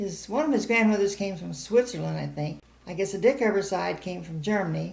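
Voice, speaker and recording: An American-accented voice moves at a fairly quick pace with big swings in loudness. Noticeable background noise sits under the speech. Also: woman, medium pitch for a woman, ordinary pitch variation. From US Midwest, St. Charles County, Missouri. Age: 80s+. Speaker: oral history interviewee. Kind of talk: oral history interview.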